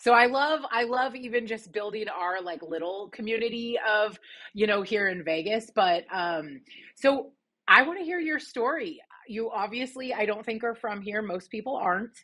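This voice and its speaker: In a plain, everyday voice, a woman with a fairly high pitch talks at a moderate pace with lively intonation. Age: 30s. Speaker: podcast host. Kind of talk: podcast interview.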